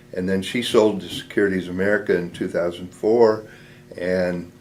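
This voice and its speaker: Speaking in a US Midwestern accent, a man talks fairly slowly in a very deep, low voice with monotone, flat intonation. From Nebraska, US Midwest. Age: 70s. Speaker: war veteran. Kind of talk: oral history interview.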